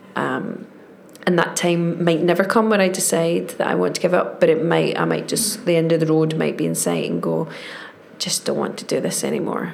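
A woman with a Glaswegian accent, plus audible room echo and noticeable background noise. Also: moderate pace. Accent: Glaswegian Scottish. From Scotland, Glasgow. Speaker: actress. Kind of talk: casual chat.

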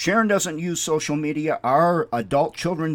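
In a very clean recording with a silent background, a man with an American accent speaks at a fairly high pitch. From Minnesota. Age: 60s. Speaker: radio ministry host. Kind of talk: radio devotional talk.

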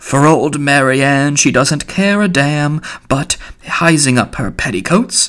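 A man uses a put-on character voice that is growling, raspy and hoarse. He talks fairly slowly at a fairly high pitch with ordinary pitch variation.

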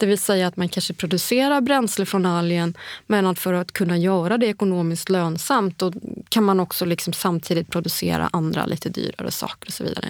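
Recorded very cleanly against a silent background, a woman speaks at medium pitch with ordinary pitch variation. She has an unremarkable speaking voice and a fairly quick pace. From Germany and Greece. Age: 40s. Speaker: biotech entrepreneur. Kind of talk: casual interview.

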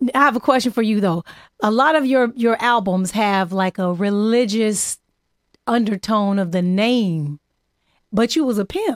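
In an American accent, a woman with a plain, everyday voice speaks at a moderate pace and fairly high pitch with ordinary pitch variation, the sound dry and close with no echo on a very clean recording with a silent background. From Los Angeles area, California. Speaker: podcast host. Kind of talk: casual interview chat. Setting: studio.

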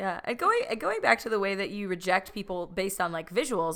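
In an American accent, a woman speaks very fast with a bright, sharp tone. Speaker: podcast host. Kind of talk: casual chat.

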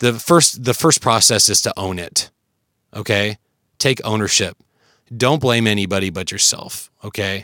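In a very clean recording with a silent background and a dry, close sound with no echo, a man with a fairly low voice and a bright, sharp tone speaks at a moderate pace with ordinary pitch variation and long, frequent pauses. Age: 30s. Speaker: fitness podcast host. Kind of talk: solo podcast monologue. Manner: casual, conversational.

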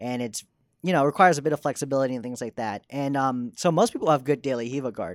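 Very fast speech from a man at medium pitch, in an American accent with ordinary pitch variation. The sound is dry and close, without any echo. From Texas (Dallas). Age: 20s. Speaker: motion designer. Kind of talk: casual interview chat.

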